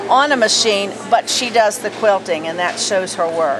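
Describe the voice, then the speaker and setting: Noticeable background noise and audible room echo surround a woman speaking at a moderate pace with an American accent. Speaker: local TV show host. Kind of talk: guided tour of quilt exhibit, casual presentation.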